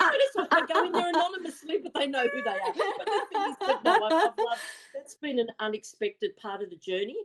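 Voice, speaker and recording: An extremely high-pitched woman's voice with an Australian accent, very fast pace, very wide pitch swings and big swings in loudness. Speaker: psychic medium. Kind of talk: casual chat.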